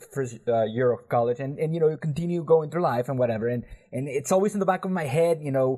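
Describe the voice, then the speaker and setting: A man with a Spanish accent and lively intonation. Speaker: podcast host. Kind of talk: casual chat.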